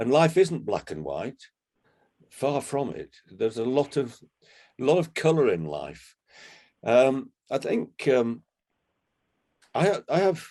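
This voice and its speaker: At a fairly slow pace, a man with a medium pitch and a dark, mellow tone speaks with vocal fry and very wide pitch swings. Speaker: retired businessman. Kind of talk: interview. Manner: halting.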